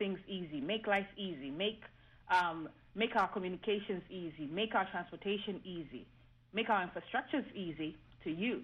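The speaker is a woman at medium pitch with ordinary pitch variation and a moderate pace. Hers is an unremarkable speaking voice. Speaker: engineer professor. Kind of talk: radio panel discussion.

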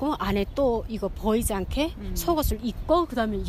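With noticeable background noise behind her, a woman talks at a fairly quick pace in a fairly high pitch. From North Korea. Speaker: North Korean defector, former nurse. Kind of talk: interview testimony.

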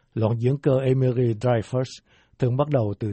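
A somewhat breathy quality runs through a man's medium-pitched voice. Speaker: radio host reading listener letter. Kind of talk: news reading, reading out a letter.

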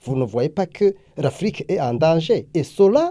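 A man speaks with very wide pitch swings. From Burundi. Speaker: anti-corruption activist. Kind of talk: interview. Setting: away at a summit in the US. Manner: hesitant with frequent fillers.

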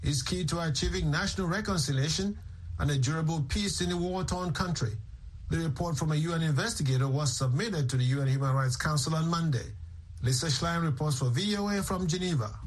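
A man with an unremarkable speaking voice talks at a fairly quick pace. His pitch is fairly high and varies in an ordinary way. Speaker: radio news anchor. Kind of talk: news reading. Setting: studio.

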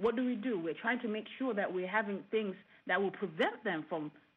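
At a fairly quick pace, a woman uses a normal speaking voice with ordinary pitch variation. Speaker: engineer and professor.

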